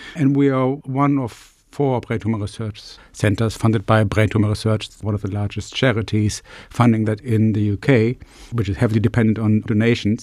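A man in a German accent, fairly quick in pace, with fairly even intonation. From Germany. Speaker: neurology professor and brain tumour researcher. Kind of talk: interview.

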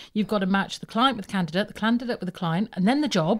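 Somewhat breathy and with lively intonation, a woman speaks in a very clean recording with a silent background. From Birmingham. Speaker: recruitment business owner. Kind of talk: casual chat.

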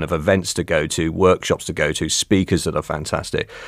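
With a West Country accent, a man speaks at a fairly quick pace. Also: very clean recording, silent background. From Cornwall. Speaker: university business engagement manager. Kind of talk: interview conversation. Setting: studio.

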